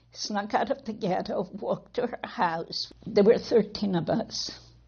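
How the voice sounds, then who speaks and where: Somewhat breathy, the voice moves with ordinary pitch variation. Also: woman. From Poland. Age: 70s. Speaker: Holocaust survivor. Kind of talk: testimony.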